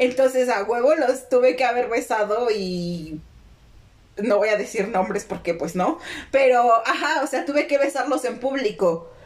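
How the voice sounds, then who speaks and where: At a fairly slow pace, a woman speaks with a high pitch over noticeable background noise. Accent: Mexican. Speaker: podcast co-host. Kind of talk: casual chat.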